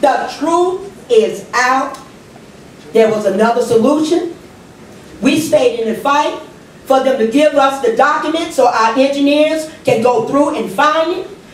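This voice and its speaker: Amid audible room echo and noticeable background noise, a woman talks at a fairly slow pace with a high pitch and ordinary pitch variation. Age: 60s. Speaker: public commenter at city council. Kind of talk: public comment speech.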